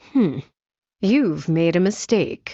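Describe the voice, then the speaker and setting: Growling in a put-on character voice, a woman at medium pitch swings her pitch very widely. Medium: video game. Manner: terse, dry, deadpan.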